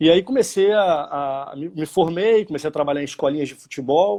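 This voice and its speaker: With ordinary pitch variation, a man keeps to a moderate pace. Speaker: youth football coordinator. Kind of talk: career talk in live online event. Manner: hesitant, frequent repetitions.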